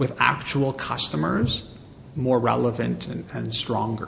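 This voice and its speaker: A man with a Montreal accent at a fairly slow pace, with noticeable background noise. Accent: Montreal English Canadian. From Canada, Montreal. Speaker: marketing agency president and author. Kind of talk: interview.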